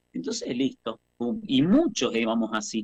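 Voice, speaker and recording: At a medium pitch, a man speaks with very wide pitch swings in a dry, close sound with no echo. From Argentina, Mendoza. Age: 50s. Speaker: actor and theatre teacher. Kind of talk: radio interview, personal life story.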